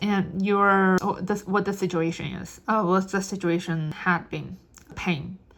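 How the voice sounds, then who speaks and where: Fairly slow and fairly even in intonation, a woman with a non-native accent speaks at a medium pitch. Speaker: tarot reader. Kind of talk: spiritual reading monologue. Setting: on camera. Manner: halting.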